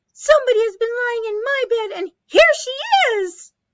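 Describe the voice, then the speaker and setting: A put-on character voice at extremely high pitch. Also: moderate pace. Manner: crying out in surprise.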